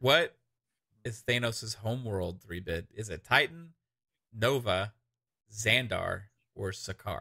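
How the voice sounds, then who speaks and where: A man with a fairly low pitch, a bright, sharp tone and ordinary pitch variation, at a very slow pace with long, frequent pauses. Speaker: podcast host. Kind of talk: casual chat. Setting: online stream with chat. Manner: animated.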